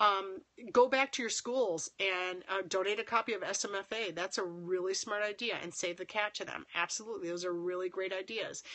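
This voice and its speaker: A woman at a fairly quick pace, medium in pitch, with ordinary pitch variation. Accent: American. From Minnesota (Winona). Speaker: filmmaker and acting teacher hosting a live stream. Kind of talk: live stream chat reading viewer comments. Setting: live phone stream.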